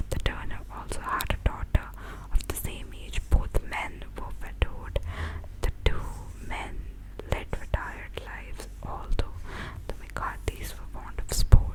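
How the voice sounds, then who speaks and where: Whispering at a fairly slow pace, a woman's loudness swings widely over noticeable background noise. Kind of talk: whispered ASMR book reading. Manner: whispered, soft-spoken.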